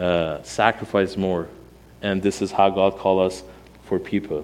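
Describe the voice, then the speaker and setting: A fairly slow pace with a Persian accent. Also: man. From Iran. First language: Armenian. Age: 40s. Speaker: pastor. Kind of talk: sermon. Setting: church. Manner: animated.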